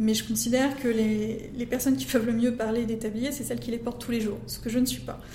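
A woman's flat, monotone delivery at a fairly quick pace, with audible room echo. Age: 30s. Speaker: entrepreneur. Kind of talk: interview. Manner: halting.

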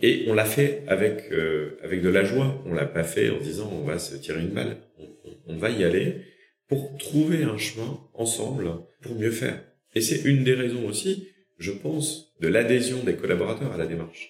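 In a room with audible echo, a man at medium pitch sounds somewhat breathy as his pitch swings very widely. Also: moderate pace. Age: 40s. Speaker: company founder and CEO. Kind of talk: interview.

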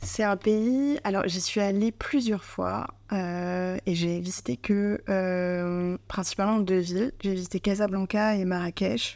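A woman speaks at a very slow pace with hardly any pauses. Her medium-pitched voice shows ordinary pitch variation on a very clean recording with a silent background. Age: 30s. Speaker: content creator and solo traveler. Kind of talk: casual interview. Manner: hesitant, many fillers.

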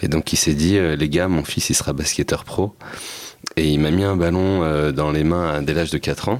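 Spoken at a moderate pace with fairly even intonation and very even loudness, the clip carries noticeable background noise. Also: man, very deep, low pitch for a man. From France, Seine-Saint-Denis (Paris suburbs). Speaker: social entrepreneur and documentary filmmaker. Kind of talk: casual interview chat.

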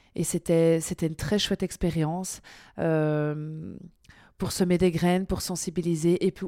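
In a very clean recording with a silent background, a woman speaks at a very slow pace. Her fairly low voice has a dark, mellow tone. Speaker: author and former French teacher. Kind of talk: interview. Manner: lively, bubbly; hesitant, many fillers.

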